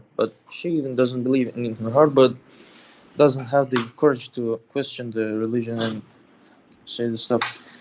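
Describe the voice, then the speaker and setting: At medium pitch, a man speaks at a moderate pace with long, frequent pauses. His intonation is monotone and flat. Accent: non-native. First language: not English. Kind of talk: call-in religious discussion. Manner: halting.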